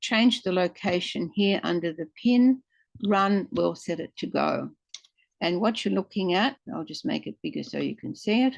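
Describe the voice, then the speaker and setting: Here a woman uses a plain, everyday voice at medium pitch, with lively intonation and a moderate pace. The sound is dry and close, with no echo. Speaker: software demonstrator. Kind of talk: tutorial.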